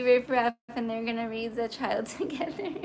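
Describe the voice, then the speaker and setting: Noticeable background noise sits under this woman's voice. She talks at a moderate pace with a high pitch. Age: 30s. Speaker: livestreamer and aspiring model. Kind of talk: casual livestream chat.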